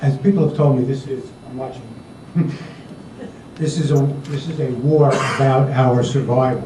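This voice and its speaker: A man with an American accent speaks at medium pitch in a monotone, flat way, with long, frequent pauses. Audible room echo and noticeable background noise fill the recording. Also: moderate pace. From US Northeast, Connecticut. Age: 60s. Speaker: audience member asking question. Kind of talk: audience question.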